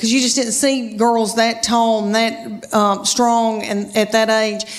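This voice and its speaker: Fairly slow, fairly high-pitched speech from a woman amid noticeable background noise. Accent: American. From Southern United States. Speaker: stand-up comedian. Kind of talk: stand-up comedy set.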